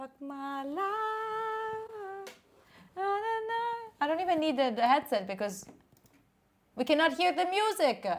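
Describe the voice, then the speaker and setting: A woman with an Italian accent speaks in an extremely high pitch, her tone animated. Her pitch swings very widely, and she takes long, frequent pauses. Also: fairly slow pace. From Italy. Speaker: streamer. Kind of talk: casual chat. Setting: live stream.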